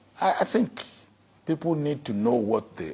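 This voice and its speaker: A man with a Nigerian accent and very wide pitch swings. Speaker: former head of state. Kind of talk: interview answer.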